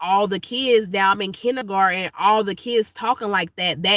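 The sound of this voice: A fairly slow delivery in a Georgia accent, on a very clean recording with a silent background.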